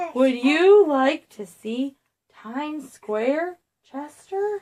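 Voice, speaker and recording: Putting on a squeaky character voice, a woman speaks very slowly at a high pitch. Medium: read story. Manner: friendly, chatty.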